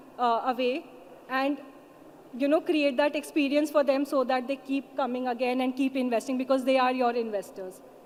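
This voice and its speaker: A woman with a high pitch and fairly even intonation speaks at a moderate pace over noticeable background noise. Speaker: investment promotion official. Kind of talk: panel discussion.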